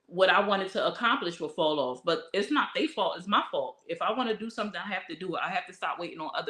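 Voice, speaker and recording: A woman's very fast speech with ordinary pitch variation. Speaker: vlogger. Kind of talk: casual chat. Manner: loud.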